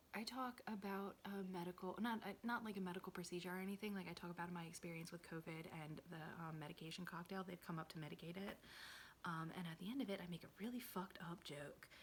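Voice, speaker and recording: Someone whispers at a very fast pace. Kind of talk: ASMR whisper ramble. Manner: whispered; casual, rambling.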